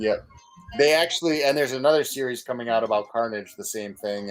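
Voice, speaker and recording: With lively intonation and a Boston accent, a man speaks over music in the background. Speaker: podcast co-host. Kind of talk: casual chat.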